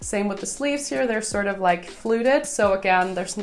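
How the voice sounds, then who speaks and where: A woman talks with ordinary pitch variation. Audible room echo surrounds her voice. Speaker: fashion YouTuber. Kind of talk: tutorial.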